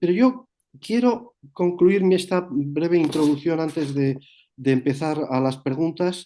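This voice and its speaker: The intonation is lively and the tone dark and mellow. The pace is fairly slow. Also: man, fairly high pitch for a man. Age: 60s. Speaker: moderator of a spiritual talk session. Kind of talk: moderated Q&A session.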